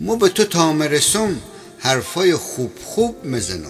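Over music in the background, a man with a fairly high pitch speaks at a very slow pace, his pitch swinging very widely. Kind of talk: poetry reading over music.

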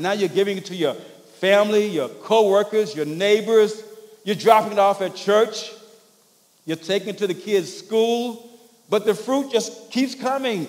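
This man has a high-pitched voice and an American accent. His pitch varies in an ordinary way. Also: moderate pace. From US South, rural Louisiana. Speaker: pastor. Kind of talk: sermon. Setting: church. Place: church.

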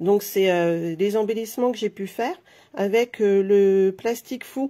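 A woman's dark, mellow tone carries ordinary pitch variation. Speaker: craft vlogger. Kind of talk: casual live tutorial. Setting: live video stream with microphone. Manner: chatty, friendly, hesitant with fillers. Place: home room. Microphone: phone near.

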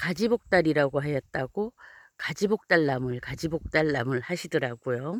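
The sound is dry and close, with no echo. A woman with a very deep, low pitch speaks at a fairly slow pace, her intonation lively. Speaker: mountain farmer and herb video creator. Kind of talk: outdoor herbal tutorial. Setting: outdoors on a hillside.

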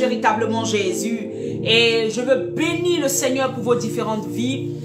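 A woman talks over loud music playing in the background. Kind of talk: sermon. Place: home room.

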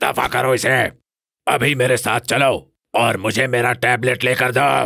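A man does a put-on character voice at a medium pitch. It sounds raspy. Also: moderate pace. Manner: vain, gruff, threatening.

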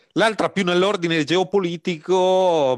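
Fairly slow speech from a man, dry and close with no echo. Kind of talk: interview. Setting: video call. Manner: halting, many fillers.

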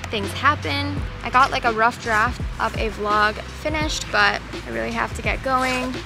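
A woman at a moderate pace, dry with no echo, over clear music in the background. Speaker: vlogger. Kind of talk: casual vlog chat. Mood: relaxed, slightly wistful. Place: forest. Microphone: phone near.

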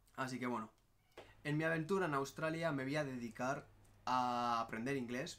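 The pace is moderate as this man talks. His voice rests at a medium pitch and rises and falls in an ordinary way. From Basque Country, Spain (Barakaldo, Bilbao); Basque Country, Spain. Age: 20s. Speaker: travel vlogger. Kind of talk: casual vlog monologue. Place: home room. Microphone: phone near.

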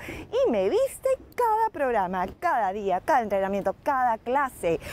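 A woman speaks with lively intonation. The sound is dry with no echo, and there is light background noise. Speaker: fitness TV host. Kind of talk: TV presenter talk with sponsor plug. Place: garden. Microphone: lapel.

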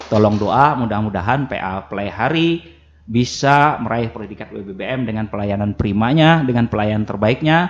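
Medium-pitched male speech at a moderate pace, with ordinary pitch variation and light background noise. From South Kalimantan, Kintap; South Kalimantan, Indonesia. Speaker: religious court chief judge; radio guest. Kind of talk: radio talk show interview. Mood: earnest, appealing, promising. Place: studio. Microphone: studio mic.

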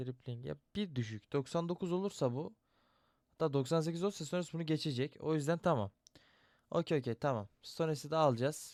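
Recorded with a dry, close sound and no echo, a man speaks at a fairly high pitch. His pace is moderate and his pitch variation ordinary. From Turkey, Ankara. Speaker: gaming youtuber. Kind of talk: casual gameplay commentary. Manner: animated.

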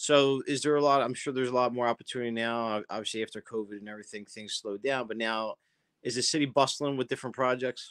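Against a quiet background, a man talks at a very fast pace with a Philadelphia accent. His intonation stays fairly even. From South Philadelphia. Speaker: interview show host. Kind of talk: interview. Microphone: video call.

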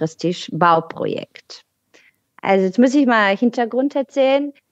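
In a dry, close sound with no echo, a woman speaks at a fairly high pitch and a fairly slow pace with lively intonation. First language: Bulgarian (speaking German). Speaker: podcast guest on politics. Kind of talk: casual chat. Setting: video call.

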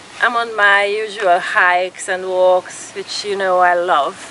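There is noticeable background noise, and the sound is dry with no echo. A woman speaks at a fairly slow pace. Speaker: outdoor vlogger reviewing gear. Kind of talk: casual product review chat. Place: open country. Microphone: phone near.

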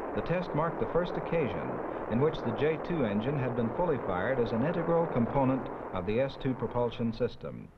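Delivered at a fairly quick pace, the speech holds a very even loudness against noticeable background noise. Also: man, medium pitch for a man, lively intonation. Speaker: documentary narrator. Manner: formal; measured, even-paced and matter-of-fact.

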